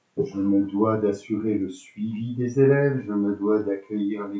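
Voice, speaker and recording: A man speaks with a fairly low pitch. His pace is very slow. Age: 60s. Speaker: school principal. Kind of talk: interview. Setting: school web radio. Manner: hesitant, many fillers.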